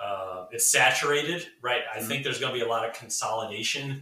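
Here is a normal speaking voice, a man's at medium pitch. The intonation holds fairly even. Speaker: cybersecurity marketing executive. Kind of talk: casual interview. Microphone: poor audio quality.

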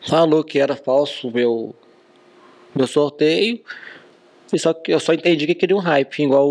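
A man talks in a normal speaking voice at a fairly high pitch. He keeps a moderate pace with ordinary pitch variation. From Brazil, Minas Gerais. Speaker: car dealer and social media influencer. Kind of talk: casual chat.

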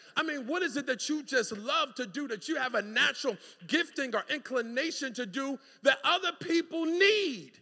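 A man projects a raised voice at an extremely high pitch, bright and sharp in tone. His delivery is animated, with lively intonation. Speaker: preacher. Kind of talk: sermon. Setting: church. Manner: exhortative, conversational.

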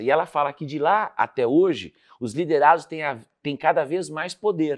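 Over a quiet background, a man speaks at medium pitch. His pitch swings very widely. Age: 50s. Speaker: leadership speaker and author. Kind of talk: interview.

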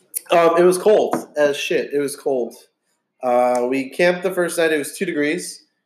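With an American accent, a man speaks at a moderate pace in a high pitch. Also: ordinary pitch variation. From Texas. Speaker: guest, doctor friend. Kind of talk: casual chat.

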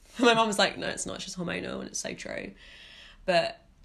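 A woman with a fairly low pitch speaks with vocal fry. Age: 20s. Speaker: podcast host. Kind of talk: casual chat.

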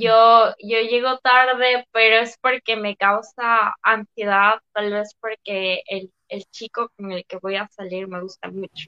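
A woman's fairly high voice at a very slow pace, monotone and flat in intonation, with big swings in loudness. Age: 20s. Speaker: psychology student. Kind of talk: casual chat.

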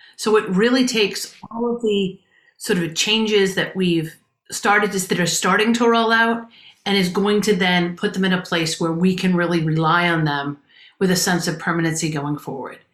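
In an ordinary speaking voice, a woman speaks at medium pitch for a woman with ordinary pitch variation. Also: moderate pace. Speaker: advocacy group state director. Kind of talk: radio interview.

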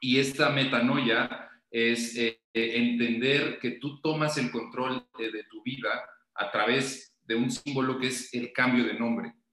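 Intonation holds fairly even throughout. Delivery comes at a very slow pace. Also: man, medium pitch for a man. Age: 30s. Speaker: podcast guest talking numerology and lucid dreams. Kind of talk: casual interview.

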